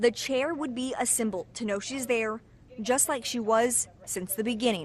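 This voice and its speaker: A woman speaks in a high voice at a moderate pace with ordinary pitch variation. Noticeable background noise runs behind her. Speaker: TV news anchor and reporter. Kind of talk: TV news anchor and reporter delivery.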